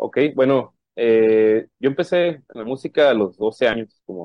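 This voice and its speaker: A man speaks at a very slow pace with a medium pitch. His intonation is lively, with big swings in loudness. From Mexico, Sonora (Puerto Peñasco). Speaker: independent musician. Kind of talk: interview.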